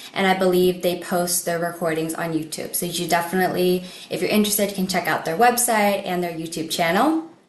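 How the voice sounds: Speaking with an American accent, a woman talks fairly quickly at a fairly low pitch with fairly even intonation. Room echo is audible.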